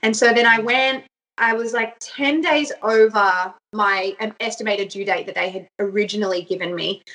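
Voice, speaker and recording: A woman with an Australian accent, fairly high in pitch, bright and sharp in tone, at a moderate pace with ordinary pitch variation. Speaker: mother sharing birth story. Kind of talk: personal storytelling interview.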